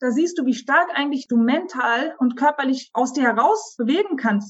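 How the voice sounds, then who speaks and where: A woman speaks at a moderate pace in a high pitch, her intonation lively. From Germany, moved to Turkey at 11. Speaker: psychologist, author and coach. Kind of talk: interview.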